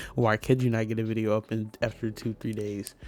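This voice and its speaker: A man's voice with music in the background. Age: 20s. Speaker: sims builder and content creator. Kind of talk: casual gaming voiceover. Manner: chatty, rambling.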